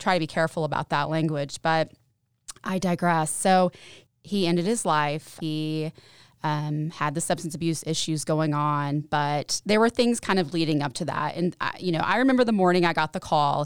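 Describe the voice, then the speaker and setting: A woman with an East Tennessee accent at a very deep, low pitch, dry and close with no echo, in a very clean recording with a silent background. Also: ordinary pitch variation, moderate pace. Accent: East Tennessee Southern US. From Tennessee, Knoxville. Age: 30s. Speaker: mental health services director. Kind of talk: podcast interview.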